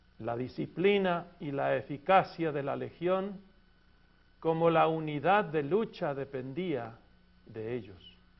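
The speaker goes at a very slow pace, with lively intonation throughout. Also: man, fairly high pitch for a man. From Argentina. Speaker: pastor and seminary teacher. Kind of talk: lecture.

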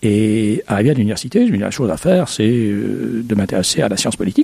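Heard in a dry, close recording with no echo, a man has a dark, mellow tone. He talks at a moderate pace with lively intonation. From Egypt. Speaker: history professor. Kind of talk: interview. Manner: halting.

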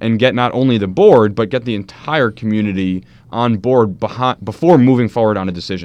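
The speaker has an American accent and ordinary pitch variation. The background is quiet. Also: man. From US Northeast (New Jersey). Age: 20s. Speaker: political candidate. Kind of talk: radio interview. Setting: radio studio. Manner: hesitant, many fillers.

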